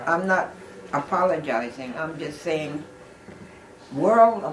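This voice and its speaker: At a fairly slow pace, a woman talks. There is noticeable background noise. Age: 80s+. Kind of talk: oral history interview answer.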